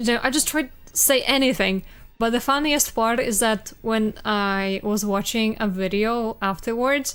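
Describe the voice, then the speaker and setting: Speaking fairly slowly with a Polish accent, a woman has a fairly high pitch and ordinary pitch variation. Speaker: streamer. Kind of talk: casual chat.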